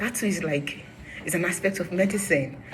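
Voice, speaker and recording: A woman talks at a moderate tempo, her pitch varying in an ordinary way, with audible room echo and noticeable noise around her. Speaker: vlogger. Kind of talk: personal vlog storytelling. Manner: loud; animated.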